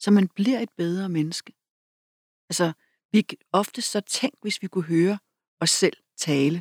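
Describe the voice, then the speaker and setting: A woman talks at a fairly slow pace with medium pitch and vocal fry. The sound is dry and close, with no echo. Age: 50s. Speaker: author and public speaker. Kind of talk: interview conversation.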